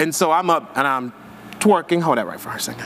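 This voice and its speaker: Fairly high-pitched and animated, a man talks over noticeable background noise. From Haiti. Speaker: hairstylist and educator. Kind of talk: live hair demonstration class. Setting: live-streamed virtual hair show. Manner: fast; high-energy, animated.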